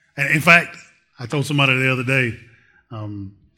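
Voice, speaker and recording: Loud and bright, a man with a sharp tone speaks at a medium pitch with ordinary pitch variation. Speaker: lay preacher and school volunteer. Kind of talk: sermon. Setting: church.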